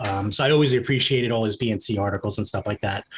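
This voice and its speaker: With a New York accent, a man speaks with ordinary pitch variation. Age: 50s. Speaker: crypto investor. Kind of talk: podcast interview. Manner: hesitant, many fillers.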